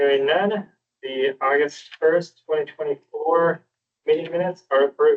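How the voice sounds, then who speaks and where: A man's fairly high voice with fairly even intonation at a moderate pace. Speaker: committee chair. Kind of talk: chairing a public committee meeting. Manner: formal.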